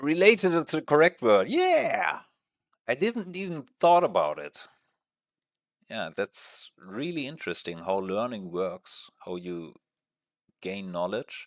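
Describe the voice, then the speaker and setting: Speaking very slowly with long, frequent pauses, a man uses a fairly high pitch, very wide pitch swings and big shifts in loudness. The recording is very clean and dry, close with no echo, over a silent background. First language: not English. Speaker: gaming streamer. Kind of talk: casual live-stream chat. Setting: live stream with webcam. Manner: hesitant, many fillers.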